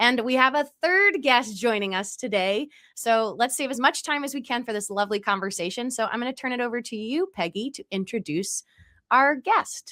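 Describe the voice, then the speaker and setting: A woman speaks at a moderate pace with an American accent. Her high voice has a bright, sharp tone and lively intonation. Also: very clean recording, silent background. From US, Delaware County, Pennsylvania. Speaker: podcast host. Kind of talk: episode intro; podcast interview.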